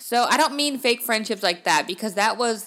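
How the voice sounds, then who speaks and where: A woman speaks in an animated way with lively intonation. Her tone is bright and sharp. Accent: American. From Los Angeles, US. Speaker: podcast host. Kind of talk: casual solo podcast talk.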